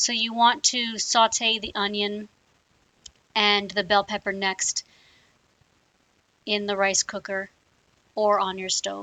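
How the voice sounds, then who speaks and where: Very slowly and with long, frequent pauses, a woman with an American accent speaks at medium pitch in a flat monotone. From US South, South Louisiana (Cajun). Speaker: cooking video host. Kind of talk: cooking tutorial. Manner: casual, hesitant with many fillers.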